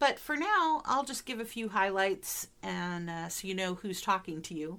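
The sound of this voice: In a Midwestern accent, a woman talks at a medium pitch with a fairly bright tone. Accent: American Midwestern.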